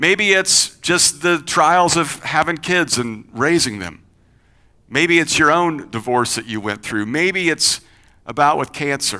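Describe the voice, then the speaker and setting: A man with a slight Kentucky accent, fairly high in pitch, bright and sharp, animated, with lively intonation at a fairly slow pace. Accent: slight Kentucky twang. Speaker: pastor. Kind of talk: sermon. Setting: church. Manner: conversational, animated.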